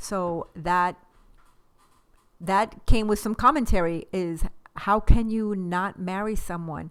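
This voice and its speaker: A woman at a medium pitch, very slow pace with long, frequent pauses, big swings in loudness and ordinary pitch variation, on a very clean recording with a silent background. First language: Spanish. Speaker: podcast guest, wife of host. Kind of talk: casual chat.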